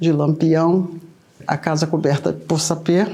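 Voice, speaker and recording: A woman's dark, mellow voice at a very slow pace. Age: 60s. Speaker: candomblé elder. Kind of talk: oral history interview.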